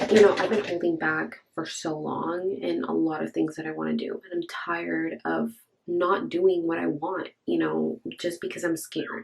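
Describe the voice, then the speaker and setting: A woman with an American accent speaks at a moderate pace with hardly any pauses. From US West Coast, Orange County, California. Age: 20s. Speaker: beauty vlogger. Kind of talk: casual makeup tutorial and get-to-know-me chat. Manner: casual, chatty.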